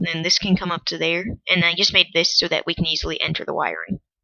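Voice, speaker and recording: The speech is quiet. It moves at a very fast pace. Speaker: gaming video creator. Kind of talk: game commentary. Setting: at home. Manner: quiet, hushed; awkward.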